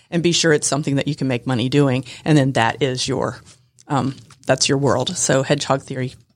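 This woman's voice is very deep and low, with fairly even intonation. She talks at a fairly quick pace. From Atlanta, Georgia. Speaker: Medicare and funeral pre-planning agent. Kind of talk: radio interview. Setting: studio.

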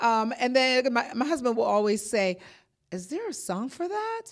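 With very wide pitch swings and an energetic tone, a woman talks at a moderate pace in a high pitch. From Jamaica. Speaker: banker. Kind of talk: radio interview. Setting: studio.

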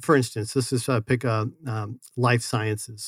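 A man with an American accent speaks at a moderate pace in a medium pitch, a normal speaking voice. The sound is dry and close, with no echo. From Scottsdale, Arizona. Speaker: city economic development director. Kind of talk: podcast interview. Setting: studio.

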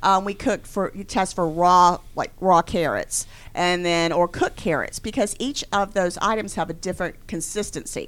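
A plain, everyday voice moves at a moderate pace with hardly any pauses and ordinary pitch variation. The recording is very clean, with a silent background. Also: woman, medium pitch for a woman. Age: 50s. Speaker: business owner. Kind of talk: radio interview. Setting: studio.

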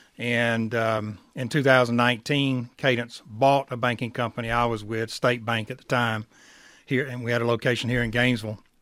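A man with a Southern US accent, medium pitch, monotone, flat intonation and a moderate pace. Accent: Southern US (Georgia). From rural middle Georgia. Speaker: bank credit risk director. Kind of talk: casual radio interview.

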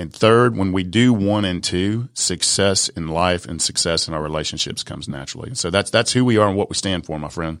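With an Atlanta accent, a man talks at a fairly quick pace on a very clean recording with a silent background. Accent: Southern US (Atlanta). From US South, south side of Atlanta, Georgia. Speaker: business and mindset coach, speaker, author. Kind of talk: interview. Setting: studio. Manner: animated.

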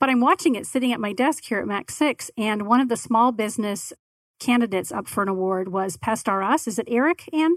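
A woman in an American accent uses a plain, everyday voice at a fairly high pitch, talking at a fairly quick pace with lively intonation on a very clean recording with a silent background and a dry, close sound with no echo. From Arizona, Tempe. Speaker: podcast network owner. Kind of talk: casual interview.

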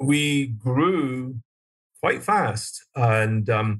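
A man speaks with a Glaswegian accent and a somewhat breathy voice. His intonation stays fairly even. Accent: Glaswegian Scottish. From Scotland. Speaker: business owner. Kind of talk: casual interview.

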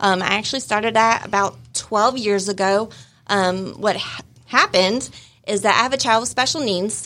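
With an American accent, a woman talks at a fairly quick pace in a plain, everyday voice. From US Midwest. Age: 40s. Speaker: real estate agent. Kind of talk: casual chat. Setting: studio.

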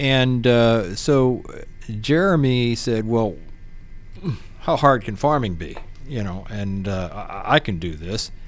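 A man with an American accent speaks at a very slow pace with long, frequent pauses. His medium pitch carries lively intonation, and the room echo is audible. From Pennsylvania. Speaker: real estate professional. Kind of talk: casual interview.

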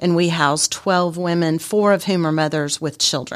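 This is a plain, everyday voice with an American accent. The pace is moderate and the intonation fairly even. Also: woman. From Texas and Germany (army family). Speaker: homeless shelter director. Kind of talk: radio interview. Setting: studio.

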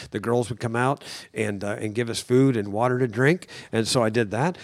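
At a very fast pace, a man with a Midwestern American accent and a medium pitch speaks in a very clean recording with a silent background. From US Midwest, rural northern Indiana. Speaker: contractor and ministry leader. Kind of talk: casual chat. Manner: halting.

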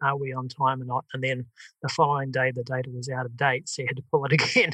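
A man speaks in a New Zealand accent at a medium pitch and a fairly quick pace. His tone is bright and sharp. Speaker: software company founder, former project manager. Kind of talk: podcast interview. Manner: hesitant, many fillers.

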